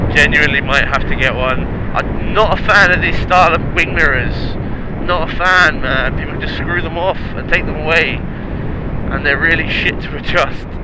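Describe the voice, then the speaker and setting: Audible room echo and noticeable background noise accompany a man talking at a moderate pace in a high pitch, his intonation fairly even. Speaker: motorcycle vlogger. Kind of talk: motorcycle test ride commentary. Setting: riding a motorcycle outdoors.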